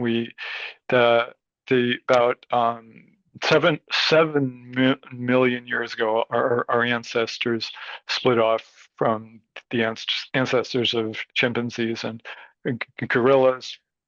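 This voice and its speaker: Over a quiet background, a man speaks very slowly in a medium-pitched, flat monotone, with long, frequent pauses. The sound is dry and close, with no echo. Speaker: speech pathologist. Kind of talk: interview. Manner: halting.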